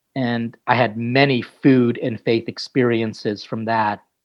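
With an American accent, a man with an ordinary speaking voice talks at a fairly slow pace, with a medium pitch and fairly even intonation. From US. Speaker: priest and chef. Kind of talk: casual interview.

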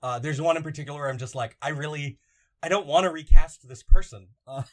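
A man with a plain, everyday voice speaks at a fairly quick pace in a fairly high pitch. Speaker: podcast host. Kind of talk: casual chat.

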